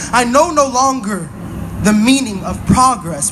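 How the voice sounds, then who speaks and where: Lively intonation from a man, high in pitch, with noticeable background noise. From Pacific Northwest, USA. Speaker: spoken word poet. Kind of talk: spoken word poetry performance. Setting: outdoors at a protest march.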